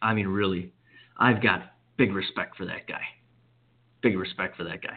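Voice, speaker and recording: Using a plain, everyday voice, a man talks at a moderate pace with fairly low pitch and fairly even intonation. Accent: American. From Wisconsin, US Midwest. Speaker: sports radio host. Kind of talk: sports talk radio monologue.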